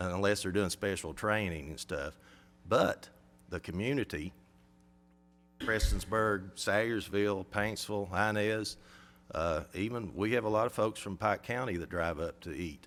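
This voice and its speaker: Speaking with an Appalachian accent, a man has a fairly low pitch and ordinary pitch variation. He keeps a moderate pace on a very clean recording with a silent background. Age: 60s. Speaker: airport operator. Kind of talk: public comment at a county meeting. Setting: county government meeting.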